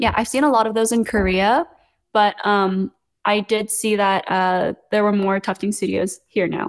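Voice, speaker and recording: In a West Coast US accent, the speaker keeps a moderate pace, fairly even intonation and very even loudness, with a dry, close sound and no echo. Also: woman, medium pitch for a woman. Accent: American (West Coast). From Los Angeles, US (born in Seoul, moved at five). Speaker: content creator, rug maker. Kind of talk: casual interview chat.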